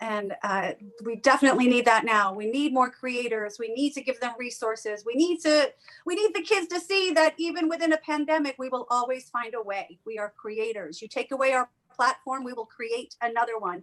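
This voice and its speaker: A woman's high-pitched voice with a Long Island accent, fairly quick pace and lively intonation. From New York, Long Island and New York City. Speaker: comedian hosting a comedy showcase. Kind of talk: event hosting introduction. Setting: home, remote streaming. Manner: casual, chatty with fillers.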